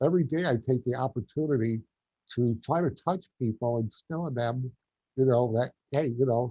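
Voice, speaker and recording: A somewhat breathy man with a New York accent and ordinary pitch variation. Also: medium pitch for a man, moderate pace. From New York, Long Island. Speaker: quadriplegic gardener and motivational speaker. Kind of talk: interview.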